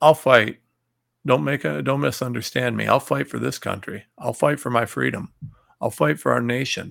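At a moderate pace, a man talks with a medium pitch, a fairly bright tone, ordinary pitch variation and some vocal fry.

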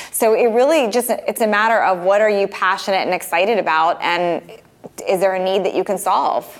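An unremarkable speaking voice shows ordinary pitch variation throughout. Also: woman. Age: 40s. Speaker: fitness coach and entrepreneur. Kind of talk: interview.

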